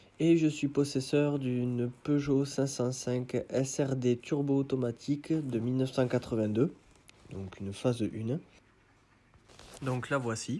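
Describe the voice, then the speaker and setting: Pausing long and often, a man speaks at a very slow pace with a dark, mellow tone, a medium pitch and fairly even intonation. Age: 30s. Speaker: car enthusiast. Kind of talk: self-recorded video presentation.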